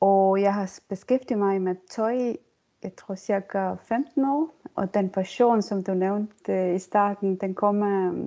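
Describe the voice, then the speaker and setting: A woman speaks very slowly in a dark, mellow tone at a medium pitch, with an Estonian accent. Her intonation stays fairly even against a quiet background. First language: Estonian (speaking Danish). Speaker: circular economy consultant and lecturer. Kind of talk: interview. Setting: online recording.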